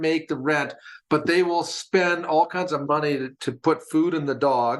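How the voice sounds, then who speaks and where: A man with a Canadian accent speaks at a moderate pace with a fairly high pitch. He has a plain, everyday voice. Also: quiet background. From Canada (Alberta). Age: 60s. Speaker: podcast co-host. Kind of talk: casual chat.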